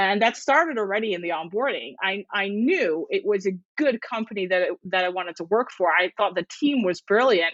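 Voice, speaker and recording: Speaking at a moderate pace, a woman with a medium pitch and a Dutch accent uses lively intonation. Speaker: podcast co-host. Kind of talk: casual chat. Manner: halting, many repetitions.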